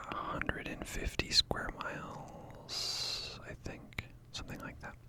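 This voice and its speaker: A man whispers at a very slow pace in a relaxed tone. Noticeable background noise sits behind him. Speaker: ASMR content creator. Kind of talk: casual talk to camera. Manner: relaxed, rambling, quiet.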